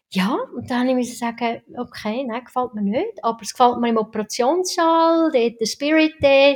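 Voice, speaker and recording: Speaking at a moderate pace in a Swiss accent, a woman uses a high pitch and lively intonation. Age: 50s. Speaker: anesthesiologist. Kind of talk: casual interview.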